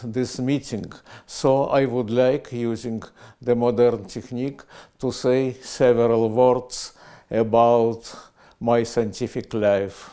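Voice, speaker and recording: Dark, mellow tone at a very slow pace, fairly even intonation, quiet background. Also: man. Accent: Russian. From Russia (Soviet Union), Moscow; Russia. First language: Russian. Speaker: physicist. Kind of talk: prize acceptance speech, recorded. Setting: video recording. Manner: halting, many hesitations. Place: office. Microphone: lapel.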